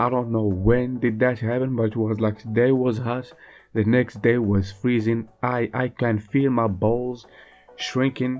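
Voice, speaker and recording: Background music accompanies the speech. The man's voice is medium in pitch. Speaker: artist vlogger / podcaster. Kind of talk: casual chat. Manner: hesitant, many fillers.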